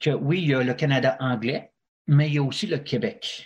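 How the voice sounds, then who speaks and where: This man speaks with a Quebec accent at a very slow pace. His voice is fairly high-pitched and somewhat breathy. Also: very clean recording, silent background. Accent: French Quebec accent, kept. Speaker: Quebec expat interviewee. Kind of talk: podcast interview. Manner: halting, many fillers.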